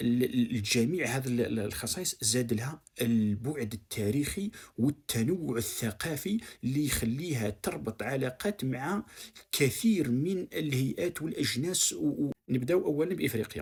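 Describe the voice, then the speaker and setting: A man's medium-pitched voice, somewhat breathy, at a fairly slow pace with lively intonation. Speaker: online commentator. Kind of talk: video commentary monologue. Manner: halting, with repeated false starts.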